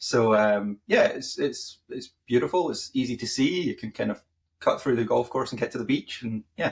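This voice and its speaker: In a Scottish accent, a man is talking. He keeps a moderate pace. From Scotland, Fife. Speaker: marketing podcast co-host. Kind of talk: casual chat.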